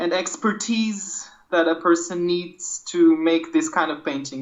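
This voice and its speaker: Someone with a Portuguese accent speaks at a fairly slow pace over noticeable background noise. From Portugal. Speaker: art podcast co-host, comics artist. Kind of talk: casual chat. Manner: hesitant, many fillers.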